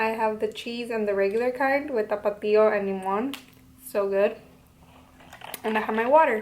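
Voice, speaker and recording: A woman's fairly high voice with long, frequent pauses, over noticeable background noise. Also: fairly even intonation, moderate pace. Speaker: lifestyle vlogger. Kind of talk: casual Q&A vlog.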